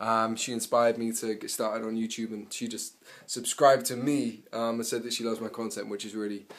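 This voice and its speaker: A man talks with a London accent at a fairly quick pace. His intonation stays flat and monotone. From England. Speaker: vlogger. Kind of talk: casual vlog talk to camera. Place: home room. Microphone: phone near.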